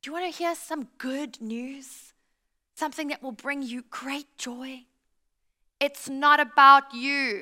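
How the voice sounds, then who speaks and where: The voice is raised and projected, bright and sharp in tone, moving very slowly with big swings in loudness. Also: woman, high pitch for a woman. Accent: South African. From South Africa. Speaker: pastor. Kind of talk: sermon. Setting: church with live audience. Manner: animated.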